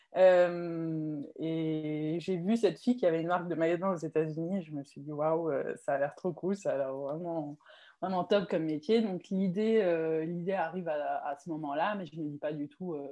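Speaking at a moderate pace, a woman uses a fairly low pitch with ordinary pitch variation, a dark, mellow tone, and big swings in loudness. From France, Alsace (Mulhouse). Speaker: swimwear brand founder. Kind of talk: interview.

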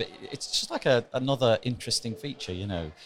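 A man talks fairly quickly in a plain, everyday voice, pitched medium with ordinary pitch variation. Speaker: podcast host. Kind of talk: interview chat. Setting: conference corridor.

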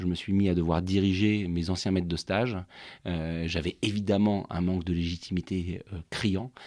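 Very deep and low, a man's voice holds fairly even intonation. The recording is very clean, with a silent background. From Normandy, France. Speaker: wine estate director. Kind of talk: interview. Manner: halting, many repetitions.

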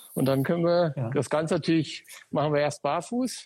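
This man's voice is somewhat breathy and fairly high in pitch, with ordinary pitch variation, a dark, mellow tone, and a dry, close sound with no echo. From Sauerland, Germany. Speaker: running shop owner. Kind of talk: casual interview. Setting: Instagram live video call.

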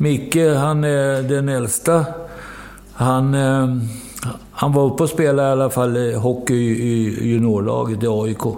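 A man talks at a fairly slow pace in a medium pitch with fairly even intonation and very even loudness. Audible room echo and noticeable background noise surround him. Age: 70s. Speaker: football coach. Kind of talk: interview. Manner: halting.

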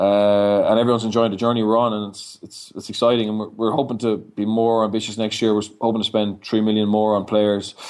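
At a very fast pace, a man with a fairly low pitch talks in a monotone, flat intonation. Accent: Dublin. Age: young. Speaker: rugby coach. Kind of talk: interview.

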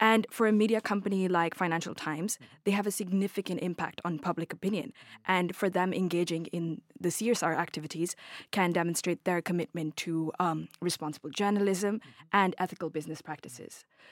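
In a very clean recording with a silent background, a normal speaking voice talks at a fairly quick pace with fairly even intonation, the sound dry and close with no echo. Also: woman, fairly low pitch for a woman. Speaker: university student. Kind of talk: asking interview question.

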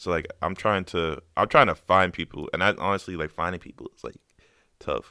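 A man talks at a fairly quick pace in a very deep, low pitch, with a bright, sharp tone and big swings in loudness. His pitch varies in an ordinary way over a very clean recording with a silent background. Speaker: beat producer. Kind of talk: casual chat.

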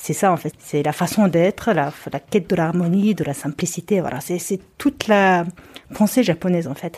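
A moderate pace with ordinary pitch variation. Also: woman, fairly low pitch for a woman. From Mongolia. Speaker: travel photographer and author. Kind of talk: casual chat. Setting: at home. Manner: halting.

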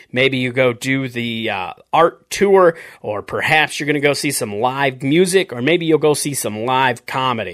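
In an American accent, a man talks at a moderate pace with a fairly high pitch. His tone is animated, with ordinary pitch variation. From South Dakota, Upper Midwest. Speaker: podcast host and comedian. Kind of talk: podcast intro and casual interview.

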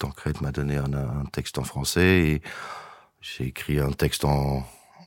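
This man's very deep, low voice comes through over noticeable background noise. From Belgium, Verviers. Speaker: singer-songwriter. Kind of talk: interview. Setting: studio. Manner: halting.

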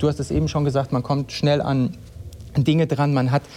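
A fairly quick pace and an unremarkable speaking voice. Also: man. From East Westphalia, Germany. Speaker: managing director of a hi-fi company. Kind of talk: live panel talk. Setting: live event with audience.

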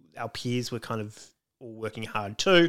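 A man speaks at a moderate pace with an Australian accent. His tone is bright and sharp. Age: 40s. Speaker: comedian. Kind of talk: casual chat.

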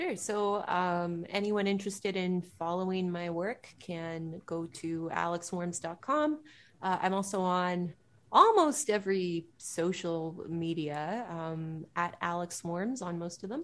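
Speaking at a very slow pace with a Canadian accent, a woman uses a fairly low pitch and ordinary pitch variation on a very clean recording with a silent background. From Ontario, Canada (Pickering, east of Toronto). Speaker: singer-songwriter and composer. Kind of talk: interview.

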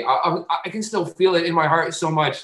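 A man talks at a moderate pace in a high voice with a bright, sharp tone. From Portuguese-Azorean community. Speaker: comedian. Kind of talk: casual chat. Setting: video call.

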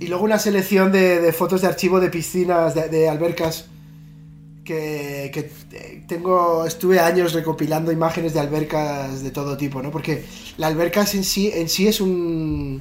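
Someone with a Spanish accent speaks with fairly even intonation, with music in the background and audible room echo. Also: man, high pitch for a man, moderate pace. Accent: Spanish (Spain). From northern Spain, Pamplona. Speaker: visual artist. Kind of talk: casual interview. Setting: video call.

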